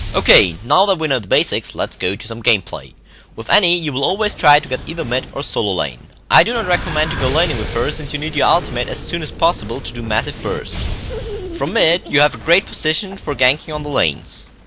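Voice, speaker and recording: A man talks very fast with very wide pitch swings. Music plays in the background. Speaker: game guide commentator. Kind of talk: game tutorial narration. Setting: old headset microphone.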